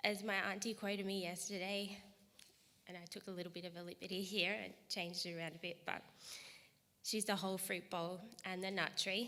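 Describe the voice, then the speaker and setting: With an Australian accent, a woman talks at a fairly quick pace and medium pitch in a bright, sharp tone, her intonation monotone and flat, broken by long, frequent pauses. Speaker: grandchild giving a eulogy. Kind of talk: eulogy. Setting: funeral service, live-streamed.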